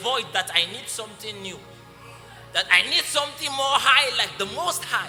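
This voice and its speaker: Music plays in the background as a man speaks at a moderate pace in an extremely high pitch. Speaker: spoken word poet. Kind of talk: spoken word poetry performance.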